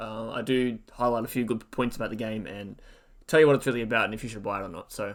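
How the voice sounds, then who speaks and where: Speaking at a very fast pace, a man keeps a medium pitch. His intonation stays fairly even. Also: big swings in loudness, very clean recording, silent background. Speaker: gaming youtuber. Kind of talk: game review. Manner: monotone.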